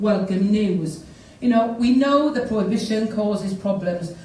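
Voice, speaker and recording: With a Welsh accent, a woman speaks at a medium pitch and a moderate pace with fairly even intonation, amid noticeable background noise and audible room echo. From South Wales. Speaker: politician. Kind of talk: conference speech.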